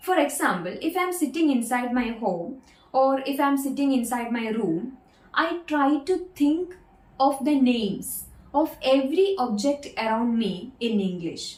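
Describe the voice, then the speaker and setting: A woman speaks fairly slowly in a high voice with very wide pitch swings. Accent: Keralan. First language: Malayalam. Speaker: English-speaking coach. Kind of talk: tutorial.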